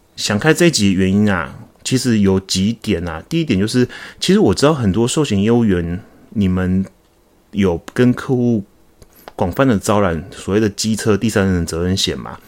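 This man has an ordinary speaking voice with a fairly low pitch. He talks at a moderate pace with lively intonation. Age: 40s. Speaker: podcast host, insurance agent. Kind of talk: solo podcast monologue. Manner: casual, with fillers.

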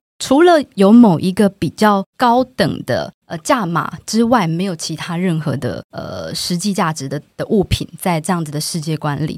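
A woman speaks in a normal speaking voice at a fairly low pitch and fairly slow pace. Her intonation is lively, and the sound is dry and close with no echo. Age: 30s. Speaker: book editor. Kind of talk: conversational interview.

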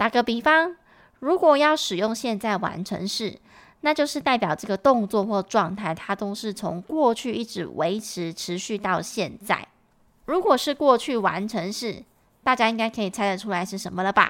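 An unremarkable speaking voice at a moderate pace with lively intonation, on a very clean recording with a silent background. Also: woman, fairly high pitch for a woman. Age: 30s. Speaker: English teacher and podcast host. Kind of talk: tutorial.

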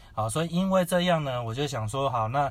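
A man speaks with a somewhat breathy voice and lively intonation. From Taiwan, Kaohsiung. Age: young. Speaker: preacher, former Japanese-cuisine chef. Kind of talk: personal testimony interview.

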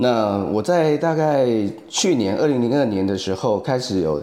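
With lively intonation, a man speaks in a Taiwanese accent. His fairly slow pace comes through audible room echo. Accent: Taiwanese Mandarin. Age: 40s. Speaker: photographer and AI art teacher. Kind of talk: casual interview chat. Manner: halting with many fillers.

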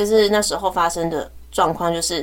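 At a moderate pace, a woman speaks in a fairly low pitch with an unremarkable speaking voice. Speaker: teacher and podcast co-host. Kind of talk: casual chat.

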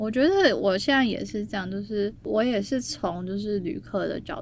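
A woman speaks at a moderate pace. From Taiwan. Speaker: travel business founder. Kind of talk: casual chat.

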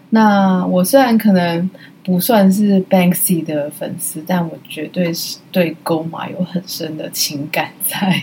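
A woman talks at a very slow pace with hardly any pauses and ordinary pitch variation. Her loudness swings widely, and there is noticeable background noise. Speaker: solo art podcast host. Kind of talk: casual chat. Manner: halting.

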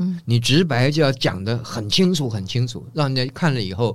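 With a normal speaking voice, a man talks at a moderate pace and medium pitch, his intonation lively. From Taiwan, family from northeast China. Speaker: design professor. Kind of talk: casual interview.

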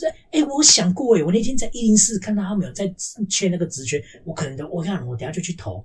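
Rushing along at a very fast pace, a man's high-pitched voice makes very wide pitch swings. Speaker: podcast co-host. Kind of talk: casual chat.

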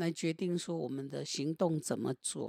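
This woman has an unremarkable speaking voice with a fairly low pitch. She talks at a fairly slow pace. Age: 60s. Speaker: meditation teacher. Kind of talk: casual chat with reflective teaching.

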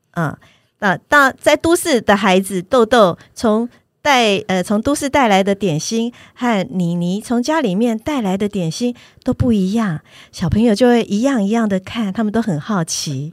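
A normal speaking voice at a fairly slow pace with lively intonation, dry and close with no echo, in a very clean recording with a silent background. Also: woman, fairly high pitch for a woman. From Taiwan, Taipei. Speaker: picture book author and illustrator. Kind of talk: casual interview.

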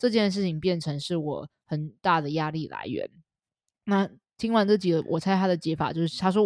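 Dry and close with no echo, a woman's medium-pitched voice moves at a moderate pace with lively intonation. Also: very clean recording, silent background. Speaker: dog behavior trainer and podcast co-host. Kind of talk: casual chat. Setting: studio.

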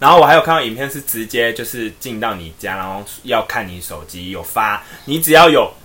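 A man's medium-pitched voice at a fairly quick clip, with big swings in loudness, lively intonation, hardly any pauses and music in the background. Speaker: podcast co-host. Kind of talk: casual chat.

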